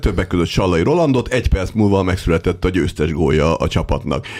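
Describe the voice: A man's very deep, low voice with lively intonation at a moderate pace, over noticeable background noise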